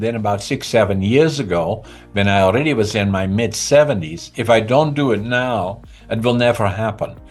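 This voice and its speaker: A man with a Dutch accent at a medium pitch, moderate pace and lively intonation, with music in the background. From Netherlands, Groningen province. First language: Dutch (Groningen dialect). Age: 80s+. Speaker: entrepreneur and author. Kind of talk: interview.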